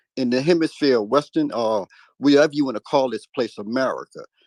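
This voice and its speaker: A normal speaking voice moves at a fairly quick pace with lively intonation. The sound is dry and close with no echo, over a quiet background. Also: man. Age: 60s. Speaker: caller in a live audio discussion. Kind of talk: call-in political discussion.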